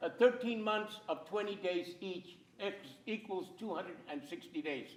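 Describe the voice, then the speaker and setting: Fairly slow speech with an American accent, ordinary pitch variation and audible room echo. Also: man. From California (Central Valley, farmworker family). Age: 80s+. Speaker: playwright and filmmaker. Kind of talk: lecture with slides. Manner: animated.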